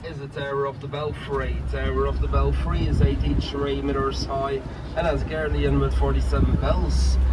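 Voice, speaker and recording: Loud background noise fills the recording. Over it, the man keeps a moderate pace. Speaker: boat tour guide. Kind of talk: tour guide commentary. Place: boat. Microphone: camera far.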